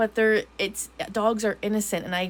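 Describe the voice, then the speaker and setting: A woman's medium-pitched voice at a moderate pace. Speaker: tarot reader. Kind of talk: tarot reading. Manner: halting; casual.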